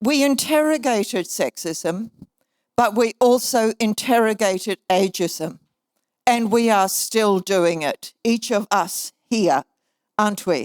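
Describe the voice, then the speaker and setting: A woman with a New Zealand accent speaks at a very slow pace in a fairly high pitch, her intonation lively and her loudness very even, on a very clean, dry, close recording with a silent background and no echo. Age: 70s. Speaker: keynote speaker, author and minister. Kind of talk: keynote speech. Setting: conference stage with audience.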